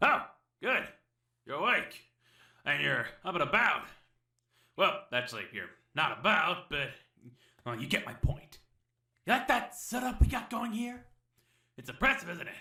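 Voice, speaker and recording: In a cartoonish character voice, a man speaks at a high pitch and a moderate pace. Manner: fast, rambling, wisecracking.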